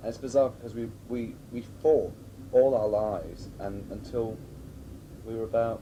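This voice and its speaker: Speaking with a Scottish accent at medium pitch and a moderate pace, a man keeps his intonation fairly even while his loudness swings widely, with long, frequent pauses and audible room echo. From Scotland (Grampians). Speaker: drag performer. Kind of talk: documentary interview.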